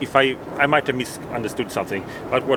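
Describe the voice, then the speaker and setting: A man at a medium pitch with a non-native accent, talking at a fairly quick pace over noticeable background noise. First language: not English. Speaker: ex-Jehovah's Witness video blogger. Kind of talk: street interview conversation. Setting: outdoors outside a convention in London. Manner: halting, with restarts.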